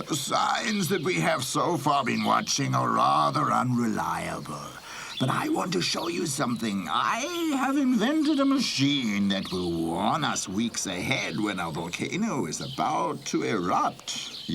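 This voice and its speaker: In a cartoonish character voice, a man talks at a fairly slow pace over clear background noise. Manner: lecturing, impatient.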